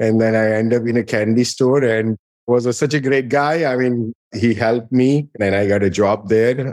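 A man talks in a Gujarati accent at medium pitch and a moderate pace. His loudness stays very even and his intonation fairly even. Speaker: pharmaceutical company co-founder and CEO. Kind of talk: interview.

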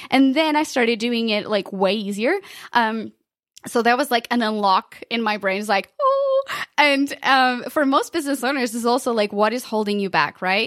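A woman talks in an animated tone with a Portuguese accent at a moderate pace. Her fairly high pitch shows ordinary pitch variation. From Portugal. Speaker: podcast consultant. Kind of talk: interview.

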